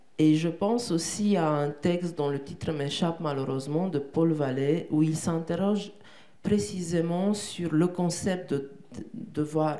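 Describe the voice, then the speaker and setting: With a Romanian accent, a woman talks at a fairly slow pace in a very deep, low pitch, her pitch varying in an ordinary way amid audible room echo. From Romania, Bucharest. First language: Romanian (speaking French). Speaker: poet and translator. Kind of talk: interview on stage. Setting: theatre stage with audience. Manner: halting, with many repetitions.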